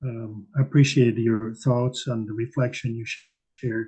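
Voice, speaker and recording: The speaker talks at a fairly slow pace in a somewhat breathy voice with fairly even intonation. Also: man. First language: not English. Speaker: meditation community member. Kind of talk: casual discussion. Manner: halting, many fillers.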